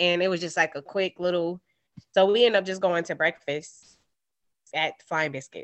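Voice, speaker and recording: A normal speaking voice with an American accent moves at a moderate pace. Its loudness swings widely. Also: woman. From New York. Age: 30s. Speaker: guest sharing dating story. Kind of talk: casual storytelling chat.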